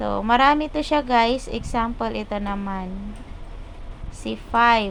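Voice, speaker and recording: A woman speaks fairly slowly at a fairly high pitch, in an ordinary speaking voice. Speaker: YouTube tutorial creator. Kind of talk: tutorial. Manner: casual.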